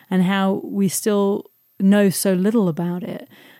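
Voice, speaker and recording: A woman's dark, mellow tone, fairly even intonation and very slow pace in a very clean recording with a silent background. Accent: London. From South London. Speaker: singer-songwriter and artist. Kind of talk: interview. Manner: halting, many fillers.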